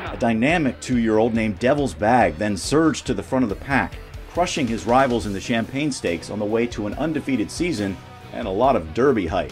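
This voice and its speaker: Music in the background accompanies a man talking at a medium pitch and fairly quick pace with lively intonation. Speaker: narrator. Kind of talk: documentary narration.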